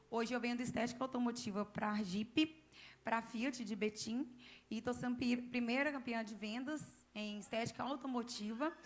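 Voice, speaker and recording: With fairly even intonation, a woman speaks at a high pitch and a moderate pace. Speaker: church member giving testimony. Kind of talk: testimony.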